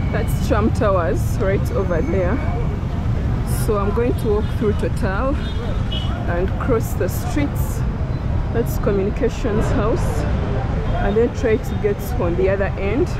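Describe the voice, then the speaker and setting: A woman speaks at a fairly slow pace over loud background noise. The sound is dry, with no echo. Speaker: travel vlogger. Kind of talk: casual vlog chat. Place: street. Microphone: phone near.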